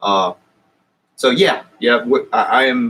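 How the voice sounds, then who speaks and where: Speaking with a Southern US accent, a man keeps a fairly slow pace. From US South. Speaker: YouTuber. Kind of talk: live stream chat. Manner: halting.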